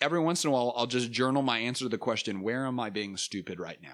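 A man talks at a medium pitch, varying it in an ordinary way, on a very clean recording with a silent background. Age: 20s. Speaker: leadership coach and podcast host. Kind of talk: casual interview.

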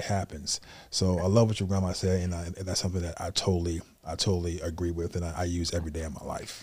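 A man speaks very fast in a monotone, flat delivery, his very deep, low voice somewhat breathy. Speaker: podcast host. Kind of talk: casual interview.

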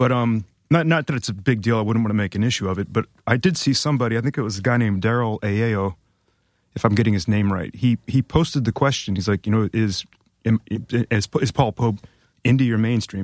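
In a normal speaking voice, a man of medium pitch talks at a fairly quick pace with ordinary pitch variation, the sound dry and close with no echo on a very clean recording with a silent background. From US Midwest, Ohio. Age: 40s. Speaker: comic book artist. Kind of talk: casual chat.

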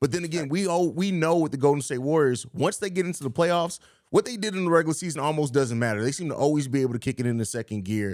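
A man with a fairly high pitch, animated tone and lively intonation, talking at a very fast pace with hardly any pauses, on a very clean recording with a silent background. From Germany. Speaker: basketball podcast host. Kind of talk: casual chat.

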